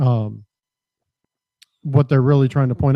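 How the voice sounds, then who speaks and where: A man mumbles in a dark, mellow tone at a medium pitch. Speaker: radio co-host. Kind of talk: casual chat. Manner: soft-spoken; mumbling. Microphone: too quiet.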